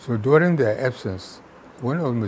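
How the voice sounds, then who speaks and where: A man with a northern Nigerian accent. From Nigeria, Kano. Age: 80s+. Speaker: retired chemistry professor and public servant. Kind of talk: interview.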